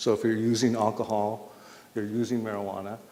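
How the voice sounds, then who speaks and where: This man talks at a fairly quick pace, his pitch medium. It is an ordinary speaking voice. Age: 60s. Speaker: public health speaker. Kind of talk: public talk to community audience.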